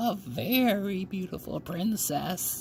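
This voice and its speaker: A put-on character voice at a middle pitch moves at a very slow pace over clear background noise. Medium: read story. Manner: terse, grave.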